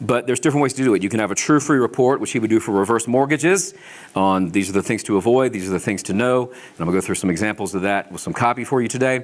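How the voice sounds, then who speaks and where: A man rattles off his words very fast, his intonation lively, against noticeable background noise. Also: medium pitch for a man. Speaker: marketing coach. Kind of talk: seminar presentation. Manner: animated.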